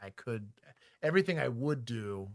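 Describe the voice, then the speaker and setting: Lively intonation at a moderate pace, with an American accent, on a very clean recording over a silent background. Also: man. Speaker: former police officer and streamer. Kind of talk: casual livestream chat.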